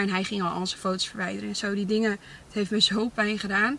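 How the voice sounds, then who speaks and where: A woman's monotone, flat delivery at a very fast pace, dry with no echo, over light background noise. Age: 20s. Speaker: content creator. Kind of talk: casual Q&A vlog. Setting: in a car. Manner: hesitant, many fillers. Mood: reflective, candid. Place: car. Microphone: camera far.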